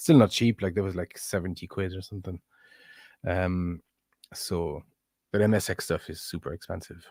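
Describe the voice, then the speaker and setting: A man with a French accent and a very deep, low pitch, fairly even intonation, big swings in loudness, and long, frequent pauses, in a very clean recording with a silent background and a dry, close sound with no echo. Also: moderate pace. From France. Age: 40s. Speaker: streamer and synth maker. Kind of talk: casual live-stream chat. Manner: halting, many fillers and repeats.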